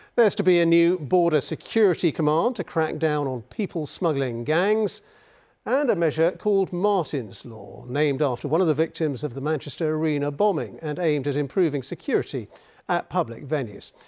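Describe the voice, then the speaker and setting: A man speaks at a fairly quick pace with a British accent and a fairly high pitch. His intonation is lively, and the background is quiet. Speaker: news anchor. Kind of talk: news reading. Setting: studio. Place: studio. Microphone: lapel.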